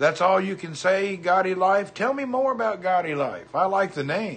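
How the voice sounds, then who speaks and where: With an American accent, a man speaks in a high voice at a moderate pace with ordinary pitch variation over noticeable background noise. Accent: Southern US, redneck. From US South, Hendersonville, Tennessee. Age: 50s. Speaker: livestreamer. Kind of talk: casual chat.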